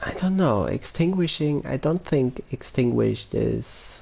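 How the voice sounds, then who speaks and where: Speaking at a fairly slow pace, a man carries a German accent. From Germany. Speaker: gaming streamer. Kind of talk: live stream chat. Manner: halting, many fillers.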